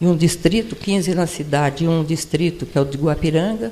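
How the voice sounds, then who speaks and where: Speech at a fairly slow pace comes through somewhat breathy, with a dark, mellow tone. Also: woman. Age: 80s. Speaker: retired professor and former city administrator. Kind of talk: personal testimony talk at a panel event. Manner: conversational, with repetitions and self-corrections.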